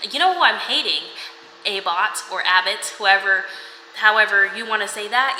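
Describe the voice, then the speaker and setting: An animated tone comes through amid noticeable background noise and audible room echo. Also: woman. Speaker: book vlogger. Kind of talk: casual reading vlog talk to camera. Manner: fast.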